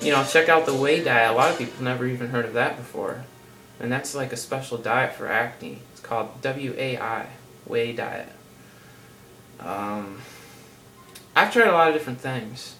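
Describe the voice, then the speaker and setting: A man at a medium pitch speaks with big swings in loudness and ordinary pitch variation, leaving long, frequent pauses, with audible room echo and noticeable background noise. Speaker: health vlogger. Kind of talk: casual vlog monologue. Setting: seated at home on camera. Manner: fast; casual, rambling with fillers.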